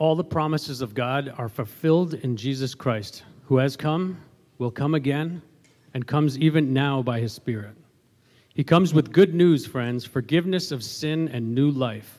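This man has a plain, everyday voice and a fairly high pitch. His pace is moderate and his pitch variation ordinary. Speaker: worship leader. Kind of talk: church liturgy and prayer. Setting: church.

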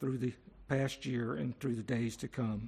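A somewhat breathy male voice at medium pitch, with ordinary pitch variation and a moderate pace. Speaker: congregation member leading prayer. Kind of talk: prayer. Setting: church.

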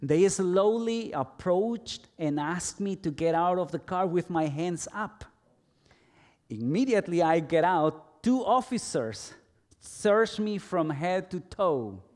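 Speaking at a fairly slow pace in a Spanish accent, a man uses a high pitch and lively intonation on a very clean recording with a silent background. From El Salvador. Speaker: pastor. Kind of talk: sermon.

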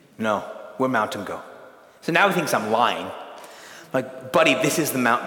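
A man with an American accent at medium pitch, moderate pace and ordinary pitch variation, with long, frequent pauses, noticeable background noise and audible room echo. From California. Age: 40s. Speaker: pastor and retreat speaker. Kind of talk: sermon.

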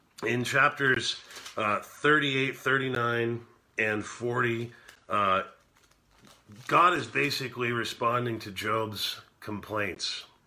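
Pausing often and at length, a man talks at a very slow pace. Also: medium pitch for a man. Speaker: bible teacher. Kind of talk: live-streamed bible study talk. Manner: slower.

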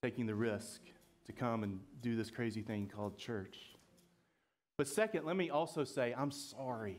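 A man speaks in a Southern US accent at medium pitch and a moderate pace. His pitch varies in an ordinary way, broken by long, frequent pauses. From Georgia, US. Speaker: pastor. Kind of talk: sermon.

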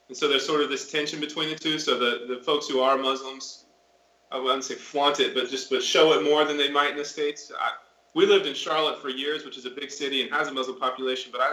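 Noticeable background noise runs under this recording. A man talks very fast in a fairly high pitch. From Florida. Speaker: missionary. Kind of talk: interview. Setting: video call.

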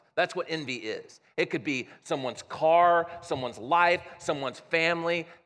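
Loud and bright with a sharp tone, a man with an American accent talks at a fairly high pitch in a very clean recording with a silent background. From US Midwest. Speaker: pastor. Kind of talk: sermon. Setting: church.

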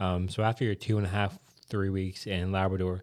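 Very deep and low, a man's voice with a Newfoundland accent moves at a fairly quick pace with fairly even intonation on a very clean recording with a silent background. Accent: Newfoundland accent, noticeable. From Newfoundland, Canada. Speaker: podcast host and church planter. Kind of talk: casual chat. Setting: studio.

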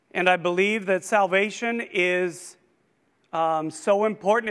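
Against a quiet background, a man talks at a high pitch with fairly even intonation. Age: 50s. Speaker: lay preacher. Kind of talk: sermon. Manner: hesitant with frequent ums.

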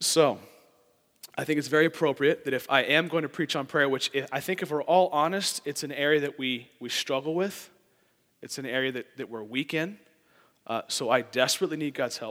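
A fairly quick pace, big swings in loudness, an unremarkable speaking voice and ordinary pitch variation. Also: man. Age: 20s. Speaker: lay preacher, church board member. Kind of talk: sermon.

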